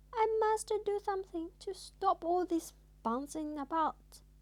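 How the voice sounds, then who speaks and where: This squeaky, put-on character voice moves at a fairly slow pace with lively intonation. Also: woman, extremely high pitch for a woman. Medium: read story.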